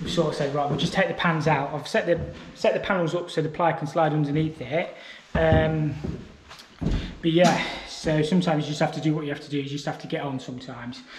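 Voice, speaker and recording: A man at a fairly quick pace with fairly even intonation, light background noise and audible room echo. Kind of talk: casual vlog chat. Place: home room. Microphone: phone near.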